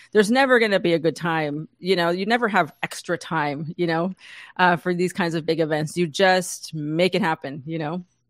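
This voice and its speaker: A woman speaks at a moderate pace and a fairly low pitch, with ordinary pitch variation, in a dry, close sound with no echo and a quiet background. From San Diego, US-Mexico border. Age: 40s. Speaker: entrepreneur, former musician. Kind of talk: interview.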